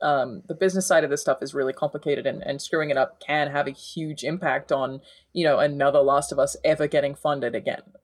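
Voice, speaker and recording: This woman talks at a fairly quick pace with an Australian accent. The recording is very clean, with a silent background. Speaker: gaming journalist. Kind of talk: casual chat.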